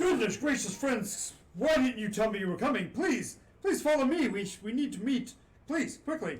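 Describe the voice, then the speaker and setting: A man's put-on character voice, pitched extremely high, delivered at a moderate speed. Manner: boisterous, joyous, hurried.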